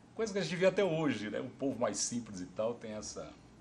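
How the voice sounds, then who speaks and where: The voice moves in very wide pitch swings. Noticeable background noise is present. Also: man. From interior of São Paulo state, Brazil (Ribeirão Preto). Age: 60s. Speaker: oral history interviewee. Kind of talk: oral history interview.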